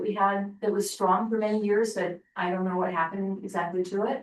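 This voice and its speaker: Speaking at a fairly quick pace, a woman keeps a medium pitch and a monotone, flat intonation. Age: 70s. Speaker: working group member. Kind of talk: group discussion report-back. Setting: in-person meeting room with Zoom.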